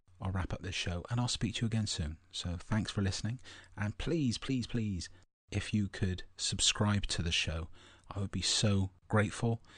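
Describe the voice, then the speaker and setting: Whispering with a somewhat breathy sound, a man speaks at a moderate pace against a quiet background. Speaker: spiritual podcast host. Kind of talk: podcast monologue.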